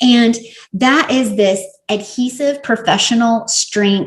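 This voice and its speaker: A woman speaks with a Southern US accent and an animated tone. Her pitch varies in an ordinary way. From US South. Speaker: professional organizer and podcaster. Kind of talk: product review vlog.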